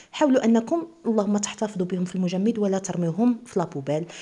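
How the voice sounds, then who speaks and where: A woman speaks with a dark, mellow tone that is somewhat breathy. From eastern Morocco, Oujda; Morocco. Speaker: cooking channel host. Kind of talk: cooking tutorial. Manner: casual, chatty. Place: home room. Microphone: phone near.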